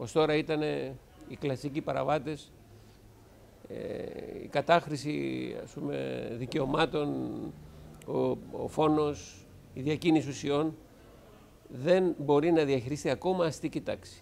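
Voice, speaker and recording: Long, frequent pauses and big swings in loudness from a man speaking at a very slow pace. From Greece (Piraeus). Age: 60s. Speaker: school director and theology teacher. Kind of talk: interview talk. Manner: halting with fillers.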